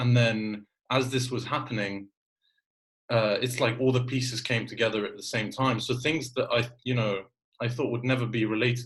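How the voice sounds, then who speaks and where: A man speaks at medium pitch in a somewhat breathy voice. His intonation is monotone and flat. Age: 20s. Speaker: podcast host. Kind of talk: casual chat.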